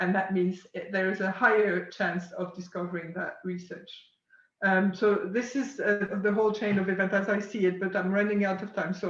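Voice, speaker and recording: A speaker with a French accent talks at a moderate pace. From France. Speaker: science communication company founder. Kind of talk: webinar presentation. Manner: hesitant, many fillers.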